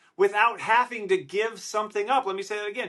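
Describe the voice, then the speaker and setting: A man's raised, projected voice, high in pitch, bright and sharp, with an animated tone. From Wisconsin, Milwaukee. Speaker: podcast host. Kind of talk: solo podcast monologue. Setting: hotel room. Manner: loud.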